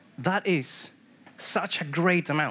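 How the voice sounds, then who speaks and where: The speaker is a man. His accent is Spanish. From Peru. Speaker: structural engineer. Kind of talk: conference talk. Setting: stage with audience.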